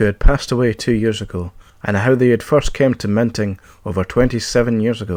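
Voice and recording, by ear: The voice reads aloud naturally. Its pitch shifts in an ordinary way.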